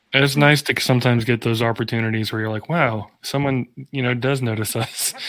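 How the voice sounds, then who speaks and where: Fairly quick in pace, a man uses a normal speaking voice at medium pitch with fairly even intonation. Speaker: band member. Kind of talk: casual chat.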